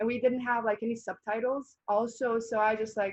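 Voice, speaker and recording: This woman has a fairly high pitch and a Bosnian accent. She talks at a moderate pace. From Bosnia and Herzegovina. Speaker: college volleyball player. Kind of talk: interview.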